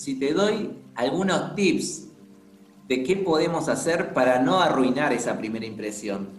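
Very wide pitch swings come through audible room echo and noticeable background noise. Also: man. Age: 30s. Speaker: podcast host. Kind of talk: casual interview chat.

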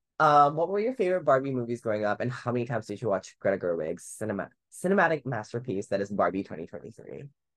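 This woman has a very deep, low pitch and talks at a very fast pace with hardly any pauses and very wide pitch swings. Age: 20s. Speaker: podcast host. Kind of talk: casual chat.

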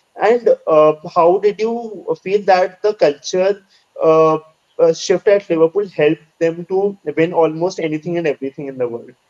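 A man with an Indian accent speaks at a high pitch and a moderate pace, with ordinary pitch variation and a dry, close sound with no echo. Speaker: podcast co-host. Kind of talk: interview.

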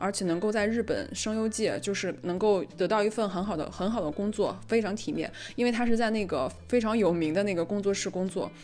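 This woman talks at a fairly quick pace. Her voice is medium in pitch, with ordinary pitch variation. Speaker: podcast co-host. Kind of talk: casual chat. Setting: voice call. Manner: fast; loud, gets excited.

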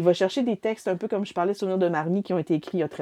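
Speaking in a Quebec accent, a woman has a medium pitch and a dark, mellow tone. Her pace is very fast. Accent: Québécois French. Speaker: book reviewer. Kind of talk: casual chat. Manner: halting.

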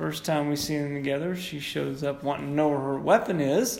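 Fairly high for a man, this is an ordinary speaking voice with ordinary pitch variation. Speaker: podcast host. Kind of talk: casual chat.

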